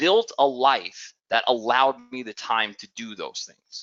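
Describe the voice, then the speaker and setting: A man with a New York accent speaks at a fairly high pitch. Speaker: business owner pitching a program. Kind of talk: sales pitch.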